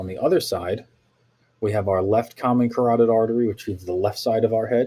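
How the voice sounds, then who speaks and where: A somewhat breathy man with a dark, mellow tone, fairly low pitch and fairly even intonation. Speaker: teacher. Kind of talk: lecture. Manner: fast.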